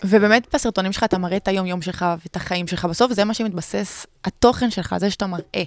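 A woman's medium-pitched voice at a very fast pace with hardly any pauses, ordinary pitch variation, and a dry, close sound with no echo. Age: 20s. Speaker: podcast host and travel blogger. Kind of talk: casual interview.

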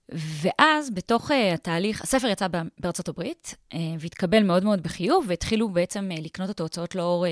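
A woman with an unremarkable speaking voice talks at a fairly quick pace and medium pitch with lively intonation, in a dry, close sound with no echo on a very clean recording with a silent background. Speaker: entrepreneur and author. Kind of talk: interview. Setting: studio.

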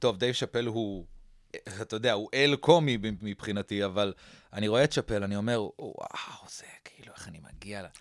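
A man with a medium-pitched voice talks at a fairly quick clip, leaving long, frequent pauses, his loudness swinging widely, on a very clean, dry, close recording with a silent background and no echo. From Israel, partly raised in Boston suburbs. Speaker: comedian. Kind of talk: casual interview.

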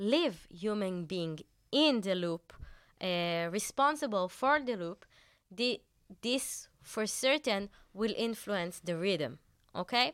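A woman speaks very slowly at a medium pitch with lively intonation. The recording is very clean, with a silent background. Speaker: security technology researcher. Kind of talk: interview.

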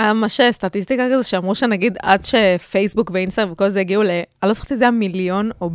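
In a very clean recording with a silent background, a woman talks at a fairly quick pace with hardly any pauses. She has an ordinary speaking voice, medium in pitch, with fairly even intonation. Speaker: podcast co-host, marketing worker and student. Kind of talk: casual chat.

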